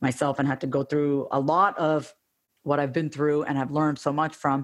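With an American accent, a woman speaks at a moderate pace in a very deep, low voice that stays monotone and flat. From US, small town, Indian family. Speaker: therapist and coach. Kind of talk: interview.

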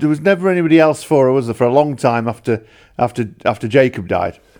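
A man speaks with a Yorkshire accent. The recording is very clean, with a silent background. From northern England. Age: 40s. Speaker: podcast interviewer. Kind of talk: interview.

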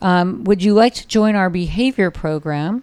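On a very clean recording with a silent background, a woman with an American accent speaks at a medium pitch with lively intonation. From Southern California, Orange County. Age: 60s. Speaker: dog rescue founder. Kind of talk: casual interview. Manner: hesitant with frequent fillers.

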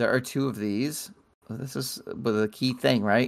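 Vocal fry runs through a man's voice. His intonation is lively. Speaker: podcast lead host. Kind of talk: casual banter. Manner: jokey, playful.

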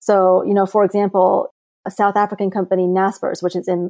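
A woman's medium-pitched voice with an American accent and a dark, mellow tone, recorded dry and close with no echo. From childhood split between Beijing and the US. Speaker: index fund founder. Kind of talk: podcast interview.

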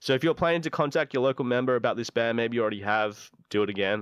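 With an Australian accent, a man speaks in a dry, close sound with no echo. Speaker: radio host. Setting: studio.

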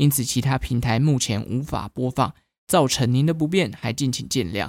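An unremarkable speaking voice from a man at a moderate pace, with ordinary pitch variation, in a very clean recording with a silent background and a dry, close sound with no echo. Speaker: podcast host. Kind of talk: scripted narration. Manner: casual.

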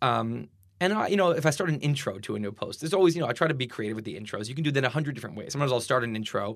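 Lively intonation and vocal fry mark this man's very fast speech. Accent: American. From US Northeast, Boston suburbs. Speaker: blogger and writer. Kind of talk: casual interview conversation. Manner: halting, many fillers and repetitions.

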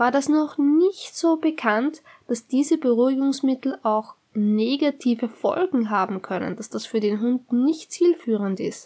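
At a fairly slow pace, a woman with a high pitch talks with lively intonation. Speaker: podcast host, dog trainer. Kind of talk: solo podcast tips monologue.

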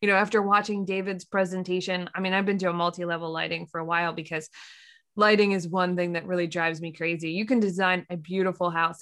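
A woman's fairly low, flat, monotone voice with an American accent, very fast, on a very clean recording with a silent background. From Pennsylvania. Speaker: architect and podcast host. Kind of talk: casual chat.

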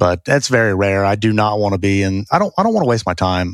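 A man with a Southern US accent speaks at a very fast pace in a very deep, low voice with fairly even intonation. The recording is very clean, with a silent background. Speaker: real estate investor. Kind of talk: casual interview.

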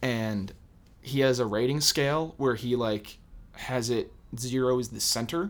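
A man talks in a normal speaking voice at a fairly slow pace with ordinary pitch variation. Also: medium pitch for a man. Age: young. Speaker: podcast guest. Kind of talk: casual chat.

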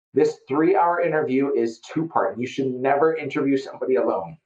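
A man with an Upper Midwest US accent speaks at a fairly quick pace. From Fargo, North Dakota. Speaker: real estate investor and business owner.

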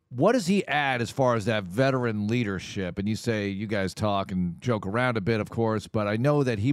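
A man talks at a moderate pace in a plain, everyday voice, fairly low in pitch with ordinary pitch variation. The recording is very clean with a silent background. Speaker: radio host and play-by-play announcer. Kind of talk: radio show interview. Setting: radio studio.

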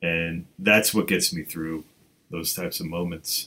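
A man speaks at a moderate pace with low pitch and fairly even intonation. His tone is fairly bright, with vocal fry and a slightly husky edge.

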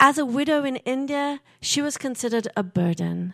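On a very clean recording with a silent background, a woman speaks. Her intonation is lively and her pace fairly slow. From England. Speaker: storyteller and writing teacher. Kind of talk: live storytelling on stage; casual interview conversation. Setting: stage with audience.

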